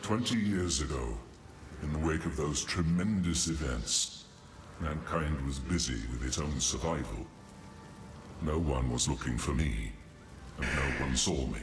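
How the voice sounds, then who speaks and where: Using a put-on character voice with a solemn tone, a man speaks with long, frequent pauses over clear background noise. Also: moderate pace. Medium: video game. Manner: grave, solemn.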